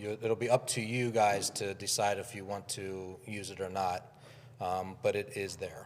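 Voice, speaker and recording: At a fairly slow pace, a man with an ordinary speaking voice talks at a fairly low pitch. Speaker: advertising club leader and commercial producer. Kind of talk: conference speech. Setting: conference with live and virtual audience.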